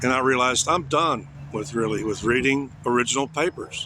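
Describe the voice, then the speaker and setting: A man with an American accent talks at a moderate pace and medium pitch. Noticeable background noise runs behind him. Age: 60s. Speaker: vlogger. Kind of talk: casual monologue. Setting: outdoors.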